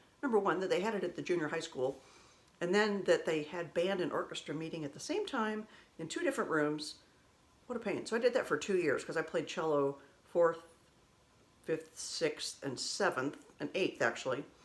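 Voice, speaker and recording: At a moderate pace, a woman speaks in a fairly low voice with lively intonation. Her pauses are long and frequent. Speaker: vlogger sharing personal memories. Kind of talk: casual storytelling monologue. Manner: conversational, self-correcting.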